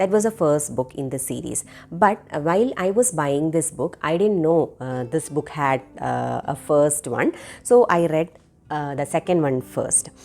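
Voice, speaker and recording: A woman with a Keralan accent, very deep, low pitch and a fairly slow pace. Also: lively intonation. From India (Kerala). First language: Malayalam. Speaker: book reviewer. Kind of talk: book review monologue. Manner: halting, many fillers.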